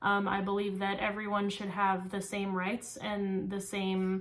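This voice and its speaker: A fairly slow, monotone, flat delivery with audible room echo. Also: woman. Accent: American. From California, small-town central California. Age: 20s. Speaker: psychology student. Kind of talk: class speech, self-introduction. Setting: recorded for speech class. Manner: frequent filler ums, somewhat halting.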